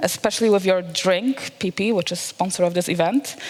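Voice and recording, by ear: Her pitch moves in an ordinary way as the woman talks at a moderate speed.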